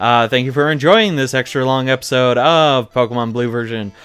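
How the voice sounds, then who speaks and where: With music in the background, this man talks at a medium pitch. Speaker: let's play gamer. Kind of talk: gameplay commentary. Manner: fast.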